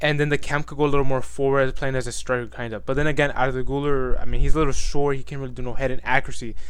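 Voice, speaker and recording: A man at a medium pitch talks at a very fast pace with hardly any pauses, with audible room echo. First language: not English. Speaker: gaming streamer and YouTuber. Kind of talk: casual commentary video. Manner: halting.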